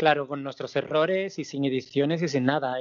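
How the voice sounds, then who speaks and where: This is an ordinary speaking voice with ordinary pitch variation, moving at a fairly quick pace. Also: man. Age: 40s. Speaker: drag performer. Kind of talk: casual interview.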